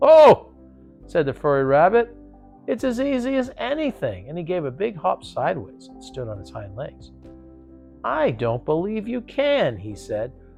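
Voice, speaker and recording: With music playing in the background, a man talks at a moderate pace, his pitch swinging very widely. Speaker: actor. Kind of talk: bedtime story reading. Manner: calm, rhythmic pacing.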